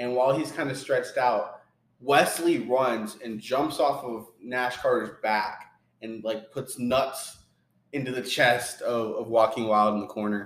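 A man with an ordinary speaking voice talks at a fairly slow pace. His pitch is medium and his intonation fairly even. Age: 40s. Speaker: wrestling podcast co-host. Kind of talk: casual chat.

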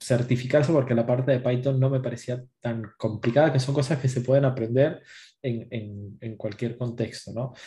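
A man's fairly slow, somewhat breathy voice with a dark, mellow tone, medium pitch and fairly even intonation. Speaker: certified test automation engineer. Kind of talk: casual panel chat.

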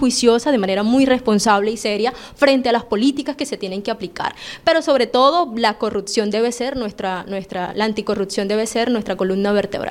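A woman with an ordinary speaking voice, fairly high in pitch, with ordinary pitch variation, a fairly quick pace and hardly any pauses. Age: 20s. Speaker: political candidate. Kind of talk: interview.

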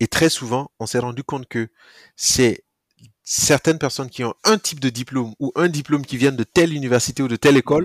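A man speaks at a moderate pace, at a medium pitch, with ordinary pitch variation. The recording is very clean with a silent background and a dry, close sound with no echo. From Burkina Faso. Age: 30s. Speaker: startup founder. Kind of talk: casual interview. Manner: halting, frequent repetitions.

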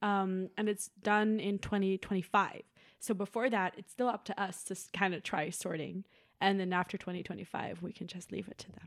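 A woman's medium-pitched, monotone voice with flat intonation and big swings in loudness, at a moderate pace on a very clean recording with a silent background. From Netherlands, Haarlem. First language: Dutch. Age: 20s. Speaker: university student, sustainability officer. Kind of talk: casual chat.

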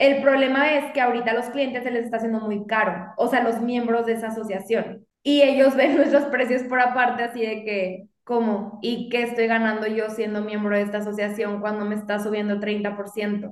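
With an ordinary speaking voice, a woman talks at a moderate pace and a fairly high pitch, her intonation fairly even and hardly any pauses between words. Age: 30s. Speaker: lawyer and business owner. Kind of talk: casual interview chat.

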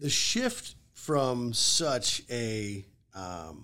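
With ordinary pitch variation and medium pitch, a man with an unremarkable speaking voice is heard on a very clean recording with a silent background. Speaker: real estate agent. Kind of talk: casual interview chat. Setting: studio.

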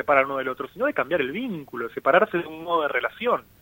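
A man talks at a fairly high pitch. The rise and fall of his voice is ordinary. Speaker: psychoanalyst and author. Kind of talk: radio interview.

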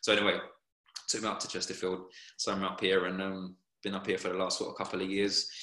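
A man talks very fast at a very deep, low pitch, in a monotone, flat intonation, with long, frequent pauses. Room echo is audible. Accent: English. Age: 30s. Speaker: professional footballer. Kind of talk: casual interview.

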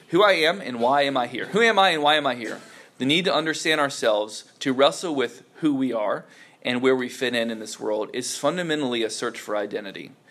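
Amid noticeable background noise and audible room echo, a man with a fairly high pitch speaks at a fairly quick pace with lively intonation. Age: 30s. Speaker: youth pastor or Bible teacher. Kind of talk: sermon-style teaching talk. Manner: casual, hesitant with many fillers.

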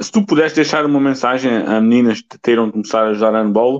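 A man talks at a medium pitch and moderate pace. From Alentejo, Portugal. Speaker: podcast host. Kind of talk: interview. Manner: halting.

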